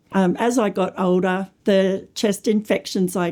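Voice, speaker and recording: A woman with an Australian accent, medium in pitch with a dark, mellow tone and ordinary pitch variation, at a fairly slow pace on a very clean recording with a silent background. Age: 60s. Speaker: teacher with a lung condition. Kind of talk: personal testimony.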